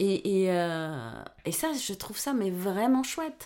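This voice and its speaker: A woman speaks very slowly in a dark, mellow tone. Her pitch swings very widely. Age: 50s. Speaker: podcast guest, mother of a host. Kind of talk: casual chat.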